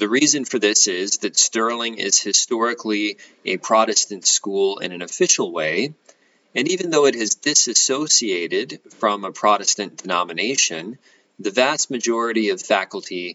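This man has an ordinary speaking voice, fairly low in pitch, with lively intonation at a moderate pace. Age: 30s. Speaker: college professor. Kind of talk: lecture. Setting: home.

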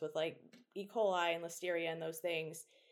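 At a fairly quick pace, a woman with an American accent talks in a fairly low, monotone, flat voice. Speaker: food science PhD student. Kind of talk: interview.

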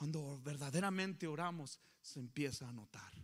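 An ordinary speaking voice with ordinary pitch variation. The pace is fairly slow. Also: man. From Coahuila, Mexico. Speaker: pastor. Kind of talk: sermon.

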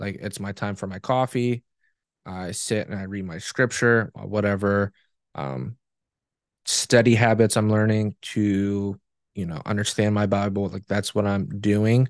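A man speaks in a plain, everyday voice at a fairly low pitch and a fairly slow pace, with fairly even intonation and big swings in loudness. The sound is dry and close with no echo, over a quiet background. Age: 20s. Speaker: podcast co-host and special education teacher. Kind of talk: casual chat.

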